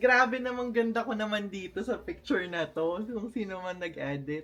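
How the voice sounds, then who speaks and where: This is a woman with a medium-pitched voice. Her intonation is lively. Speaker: vlogger. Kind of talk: casual vlog unboxing. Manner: animated.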